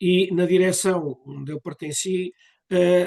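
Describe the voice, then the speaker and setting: A man with a high pitch and a dark, mellow tone speaks with fairly even intonation. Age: 70s. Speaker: association member speaking at a cultural session. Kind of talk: public talk at a commemorative session. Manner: hesitant, with fillers.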